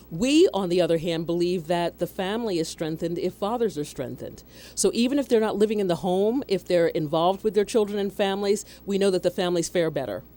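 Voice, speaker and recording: A woman with an American accent and a dark, mellow tone talks at a very fast pace with hardly any pauses. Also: medium pitch for a woman, ordinary pitch variation. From Philadelphia area, Pennsylvania. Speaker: nonprofit executive director. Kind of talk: radio interview.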